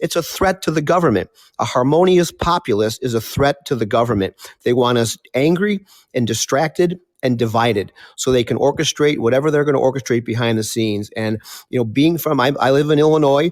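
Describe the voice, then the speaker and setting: An ordinary speaking voice, a man at a medium pitch with ordinary pitch variation comes through with a dry, close sound and no echo. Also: fairly quick pace, very even loudness. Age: 60s. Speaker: participant in discussion. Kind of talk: casual discussion.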